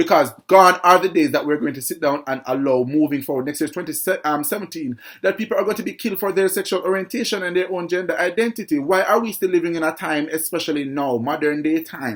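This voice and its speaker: Speaking very fast and loud, a man with a high-pitched voice uses a passionate tone and ordinary pitch variation. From Jamaica. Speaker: vlogger, show host. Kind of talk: opinion commentary vlog.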